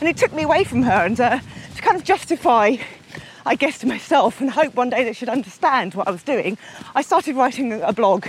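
Over noticeable background noise, a woman with a high pitch talks at a fairly quick pace with lively intonation. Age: 40s. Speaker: endurance runner. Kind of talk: casual interview. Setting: outdoors.

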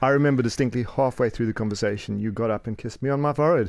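Speaking very fast with a South African accent, a man keeps a medium pitch and ordinary pitch variation. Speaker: co-host, life and business coach. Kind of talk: casual chat.

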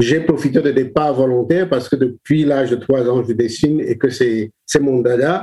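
Fairly even intonation from a man at medium pitch and moderate pace. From Cameroon, Douala. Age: 60s. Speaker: children's book illustrator and author. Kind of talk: interview. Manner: halting, many repetitions.

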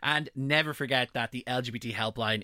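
Bright and sharp, a man's voice moves at a fairly quick pace with fairly even intonation. The sound is dry and close with no echo. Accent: Irish. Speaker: radio host. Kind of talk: radio presenting. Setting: radio studio.

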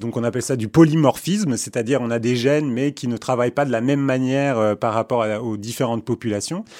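Words pour out at a very fast pace with hardly any pauses and ordinary pitch variation, on a very clean recording with a silent background. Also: man, medium pitch for a man. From born in Istanbul, Turkey. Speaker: neurobiologist. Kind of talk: interview.

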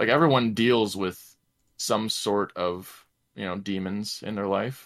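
A normal speaking voice from a man, fairly low in pitch, with fairly even intonation. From Canada. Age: 20s. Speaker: gamer and streamer. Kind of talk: casual chat. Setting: video call.

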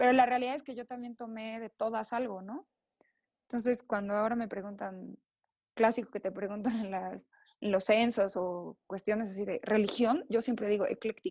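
A woman's fairly high voice with a Mexican accent, moderate pace, fairly even intonation and big swings in loudness, in a dry, close sound with no echo over a quiet background. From Mexico, Oaxaca. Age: 30s. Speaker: designer and accessories entrepreneur. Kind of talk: casual interview chat.

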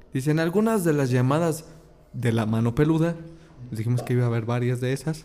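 Medium-pitched male voice at a fairly quick pace, with ordinary pitch variation and noticeable background noise. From Mexico. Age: 20s. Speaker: podcast host. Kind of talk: casual chat.

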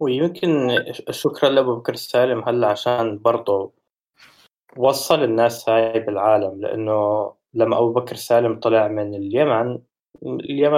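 This man has a plain, everyday voice at a medium pitch with ordinary pitch variation. He talks at a fairly slow pace. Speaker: podcast co-host. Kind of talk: casual chat about music.

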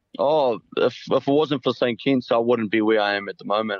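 In a New Zealand accent, a man talks at a fairly quick pace. His pitch is medium and his intonation fairly even. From New Zealand, Auckland. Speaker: rugby player. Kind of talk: interview. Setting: phone call.

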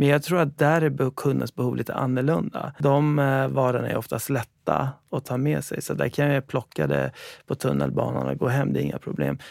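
A man talks fairly quickly in a dry, close sound with no echo. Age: 40s. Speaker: founder and CEO of a food delivery company. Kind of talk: interview. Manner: halting.

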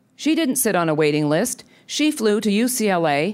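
Talking at a moderate pace, the speaker has an ordinary speaking voice, on a very clean recording with a silent background. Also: woman. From Canada. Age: 50s. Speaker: think tank president. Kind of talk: speech. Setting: stage with audience.

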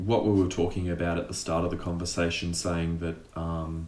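With an Australian accent, a man with a very deep, low voice speaks at a moderate pace amid audible room echo. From Tasmania, Australia. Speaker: actor and sketch artist. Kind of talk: casual interview.

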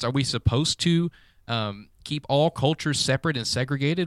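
A plain, everyday voice from a man with an American accent, fairly high in pitch with lively intonation, in a very clean recording with a silent background and a dry, close sound with no echo. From US South. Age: 20s. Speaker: podcast co-host. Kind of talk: casual chat. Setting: studio.

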